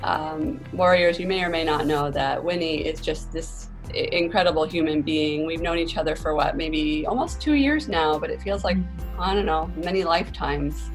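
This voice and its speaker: A woman speaks at a moderate pace while music plays behind her. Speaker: podcast host. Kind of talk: podcast interview, hosting. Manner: enthusiastic.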